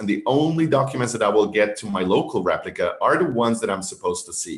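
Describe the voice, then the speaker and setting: This is a man talking. His pace is fairly quick. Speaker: webinar presenter on software security. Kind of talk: webinar presentation. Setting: online webinar with screen share. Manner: fast.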